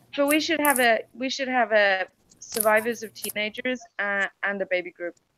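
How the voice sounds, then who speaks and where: With a British accent, a woman speaks at a moderate pace in a fairly high, bright, sharp voice with ordinary pitch variation, the sound dry and close with no echo. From Denmark, then UK and Norway. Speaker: online community host. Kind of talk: casual chat. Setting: video call.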